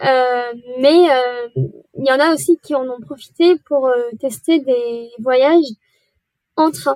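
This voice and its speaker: With music in the background and a dry, close sound with no echo, a woman speaks at a high pitch and a very slow pace, with ordinary pitch variation and long, frequent pauses. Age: 20s. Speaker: media manager at a sustainable tourism platform. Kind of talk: podcast interview.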